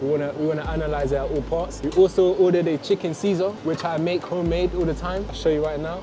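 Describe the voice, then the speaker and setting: A man talks at a very fast pace. Noticeable background noise is present. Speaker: food vlogger. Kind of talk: casual vlog chat. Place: cafe.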